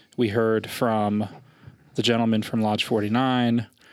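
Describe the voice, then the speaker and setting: Very slow speech from a man over noticeable background noise. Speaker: podcast co-host. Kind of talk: casual chat. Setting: studio.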